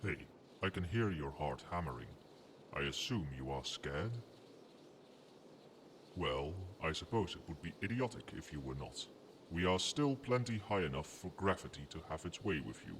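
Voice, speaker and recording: In a very deep, low put-on character voice, a man speaks with long, frequent pauses. Clear background noise can be heard. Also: moderate pace. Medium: solo performance. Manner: formal, lordly, condescending.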